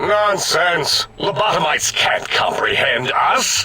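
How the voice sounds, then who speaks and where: A man does a put-on character voice with high pitch. His pace is fairly slow. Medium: actual play. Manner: pompous, blustering.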